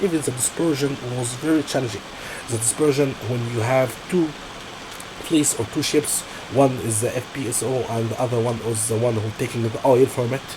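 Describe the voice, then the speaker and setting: Speech comes at a moderate pace in an Arabic accent. There is noticeable background noise. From Egypt. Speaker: process safety engineer, job candidate. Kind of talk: job interview. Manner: halting, with frequent self-corrections.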